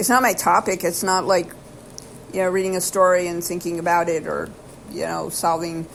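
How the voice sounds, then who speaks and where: A woman's flat, monotone delivery comes through with noticeable background noise behind it. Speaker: YouTuber. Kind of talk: casual monologue. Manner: fast and erratic; halting, many fillers.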